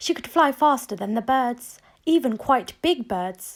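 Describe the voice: A woman speaks with a high pitch and lively intonation.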